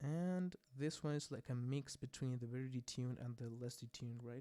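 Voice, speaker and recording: The speaker has a dark, mellow tone and a non-native accent and keeps to a moderate pace. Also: man. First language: not English. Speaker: music producer. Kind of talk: tutorial. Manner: casual, hesitant with fillers. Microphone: volume gets too quiet at points.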